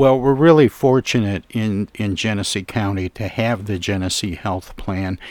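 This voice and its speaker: A man with an unremarkable speaking voice and a fairly low pitch talks with hardly any pauses and ordinary pitch variation, the sound dry and close with no echo. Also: moderate pace. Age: 60s. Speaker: radio host. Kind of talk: radio interview.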